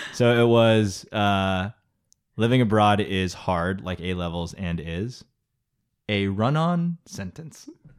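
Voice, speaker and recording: A man with a Californian accent speaks at a fairly low pitch. His pace is very slow, but his intonation is lively. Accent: Californian American English. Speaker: podcast co-host. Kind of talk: casual chat.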